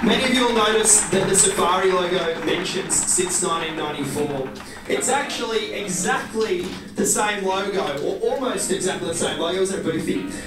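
A man's voice moves at a medium speed, its pitch rising and falling in a normal way, amid clear background noise and a room that echoes audibly. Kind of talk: welcome speech. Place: hall.

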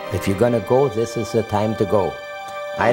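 Over clear background music, a man talks at a medium pitch. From Germany. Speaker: Holocaust survivor. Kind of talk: interview answer. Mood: earnest, vivid recollection. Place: home room.

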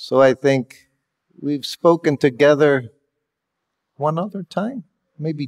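Over a quiet background, a man talks at a very slow pace. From USA. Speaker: monk and former personal servant of a guru; guest. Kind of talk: reminiscence talk. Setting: hall with audience. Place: hall.

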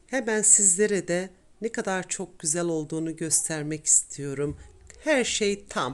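Using a plain, everyday voice, a woman talks at a fairly low pitch with lively intonation. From Tokat, central Anatolia, Turkey. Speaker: cooking channel host. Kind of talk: cooking tutorial narration.

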